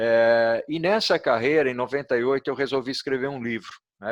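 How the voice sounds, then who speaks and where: Recorded dry and close with no echo and a quiet background, a man speaks at a moderate pace and medium pitch. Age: 60s. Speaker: author and logistics expert. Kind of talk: interview. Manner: hesitant, many filler sounds.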